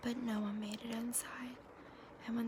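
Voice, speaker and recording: A soft-spoken woman is whispering over noticeable background noise. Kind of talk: fairy tale reading. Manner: soft-spoken, whispered.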